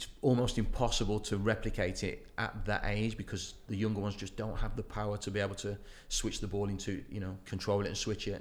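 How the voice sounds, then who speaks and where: With a fairly low pitch and a monotone, flat delivery, a man talks at a fairly quick pace amid audible room echo. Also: hardly any pauses. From Wolverhampton, England. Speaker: youth football coach. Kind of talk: casual interview. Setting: office.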